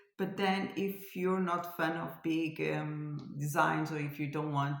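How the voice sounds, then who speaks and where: A woman with a very deep, low pitch speaks at a fairly slow pace amid audible room echo. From France. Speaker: cross stitch designer and vlogger. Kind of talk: casual vlog chat. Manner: hesitant, searching for words.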